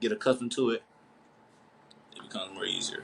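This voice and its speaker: Noticeable background noise sits behind the speech. The delivery is fairly quick, with fairly even intonation. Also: man. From Nashville, Tennessee. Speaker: college basketball player. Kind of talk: interview. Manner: fast.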